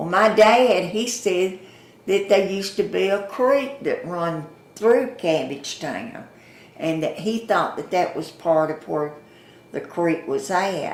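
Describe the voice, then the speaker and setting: There is audible room echo as a woman with a Southern US accent speaks very slowly at a medium pitch, her intonation lively. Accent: Southern US (Georgia). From US South, Atlanta. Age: 80s+. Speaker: longtime resident, former store owner. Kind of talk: oral history interview. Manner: folksy storytelling.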